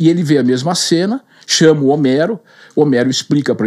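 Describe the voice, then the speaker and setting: A man with a dark, mellow tone speaks at moderate pace, his fairly high pitch showing ordinary variation. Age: 60s. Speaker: real estate sales manager. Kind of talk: interview, storytelling.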